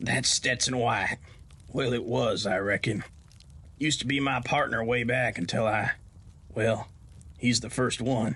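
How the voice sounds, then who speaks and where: In a raspy, put-on character voice, a man speaks at a moderate pace and medium pitch, leaving long, frequent pauses. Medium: read story.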